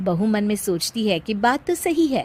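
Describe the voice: A woman speaks at a medium pitch with big pitch swings. Her tone is slightly mellow and her pace moderate.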